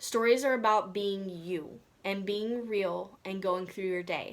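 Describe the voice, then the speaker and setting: A woman in a Southern US accent talks at a fairly slow pace and medium pitch, her pitch varying in an ordinary way. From US South. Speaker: social media coach for real estate agents. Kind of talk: online course lesson. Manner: casual, conversational with many fillers.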